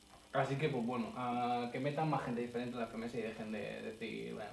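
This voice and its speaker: A man talks at a fairly quick pace with lively intonation. Room echo is audible, and background noise is noticeable. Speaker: podcast co-host. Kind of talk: casual chat.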